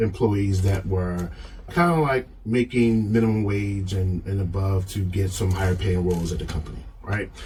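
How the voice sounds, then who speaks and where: A man speaks at a fairly low pitch with ordinary pitch variation. His voice is somewhat breathy. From Baltimore, US. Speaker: leadership framework creator. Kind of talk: podcast interview. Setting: studio.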